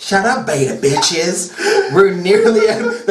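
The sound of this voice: What you hear is an unforced reading voice.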